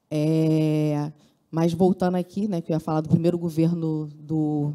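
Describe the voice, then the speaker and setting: Against a quiet background, a woman with a fairly low pitch and a dark, mellow tone speaks at a moderate pace. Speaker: public health worker union representative. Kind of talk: conference speech. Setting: conference hall with simultaneous translation. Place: hall. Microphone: handheld.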